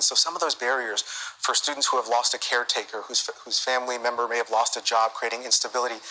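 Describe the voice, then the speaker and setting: A man speaks at a medium pitch with an American accent and a fairly quick pace. His intonation stays fairly even, and background noise is noticeable. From US. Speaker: nonprofit executive. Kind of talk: TV interview.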